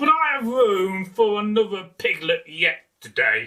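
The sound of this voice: A man's put-on character voice, high-pitched, with a bright, sharp tone and big pitch swings. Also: fairly slow pace.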